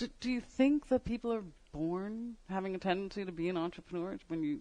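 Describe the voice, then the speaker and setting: With an American accent, a woman talks at a fairly quick pace in an unremarkable speaking voice, medium in pitch and lively in intonation. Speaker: radio host. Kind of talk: casual radio interview.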